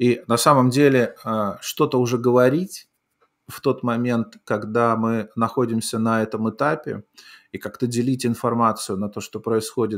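The background is quiet as a man talks at a fairly slow pace. His pitch varies in an ordinary way. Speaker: live talk show host. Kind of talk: live political talk show. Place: home room.

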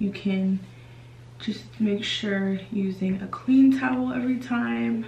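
Noticeable background noise fills the clip. The woman speaking has a medium pitch. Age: 20s. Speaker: beauty vlogger. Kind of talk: casual talk to camera. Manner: friendly, conversational. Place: bathroom. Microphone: phone near.

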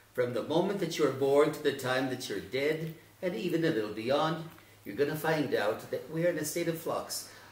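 Amid audible room echo, a man talks at a fairly high pitch and moderate pace with ordinary pitch variation. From northern New Mexico (Arroyo Seco, Taos area); New Mexico. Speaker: retired educator; interviewee. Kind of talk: interview. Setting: at his home. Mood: reflective, philosophical. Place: home room.

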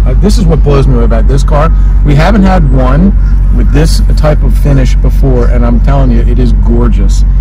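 A man talks at a moderate pace, his voice dry with no echo, while loud background noise fills the recording. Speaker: car salesman. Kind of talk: sales walkaround commentary. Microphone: phone near.

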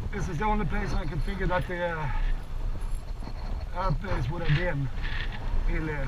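Loud background noise fills the clip as a man talks. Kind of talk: casual vlog chat. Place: motorbike. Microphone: helmet.

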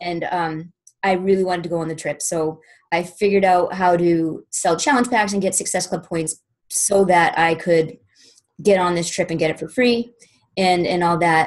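Against a quiet background, a woman with an American accent talks at a moderate pace, her pitch fairly low and her intonation fairly even. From Boston, US. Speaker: fitness business coach; guest. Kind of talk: testimony. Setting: conference call. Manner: informal. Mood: earnest, reflective. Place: home room. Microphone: webcam.

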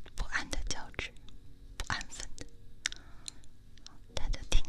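A woman speaking at a very slow pace. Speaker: ASMR streamer. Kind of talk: ASMR hypnosis guided relaxation, talking softly to the listener. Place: home room. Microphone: studio mic.

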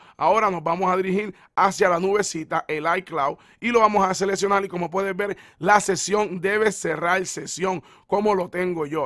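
The sound is dry and close, with no echo, and the recording is very clean over a silent background. Intonation stays fairly even. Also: man. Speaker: tech YouTuber. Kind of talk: tutorial.

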